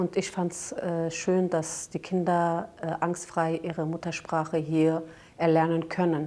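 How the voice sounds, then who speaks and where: In a Kurdish accent, a woman speaks at a moderate pace in a fairly low pitch with monotone, flat intonation. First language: Kurdish (speaking German). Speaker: daycare center manager. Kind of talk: documentary interview. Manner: hesitant, many fillers.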